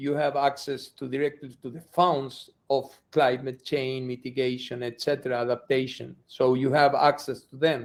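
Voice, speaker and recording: A man with a non-native accent speaks at a fairly slow pace in a fairly high pitch. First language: not English. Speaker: executive director of an environmental nonprofit. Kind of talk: interview. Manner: halting, with many repetitions.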